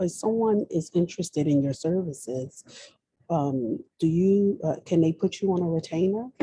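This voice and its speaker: Soft-spoken and somewhat breathy, a woman talks with a dark, mellow tone at a fairly low pitch. Her intonation is lively. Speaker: audience member. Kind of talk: audience question. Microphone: too quiet.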